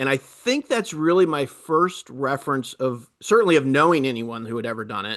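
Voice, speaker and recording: Against a quiet background, a man with a fairly high pitch speaks at a fairly quick pace with lively intonation. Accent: American. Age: 50s. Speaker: adventure cyclist. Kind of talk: interview. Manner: halting, many fillers.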